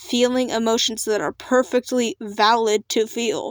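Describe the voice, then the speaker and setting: The recording is very clean, with a silent background. A woman speaks at a very slow pace and a fairly high pitch. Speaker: digital artist vlogger. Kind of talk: casual rant vlog. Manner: fluctuating pitch; off-the-cuff, hesitant. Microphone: laptop recording.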